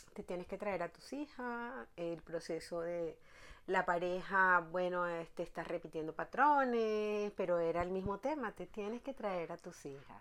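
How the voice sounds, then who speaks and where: A woman speaks at a fairly slow pace with lively intonation and a medium pitch. She has an unremarkable speaking voice. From Venezuela, La Guaira (Vargas state). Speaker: therapist and personal development teacher. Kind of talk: interview.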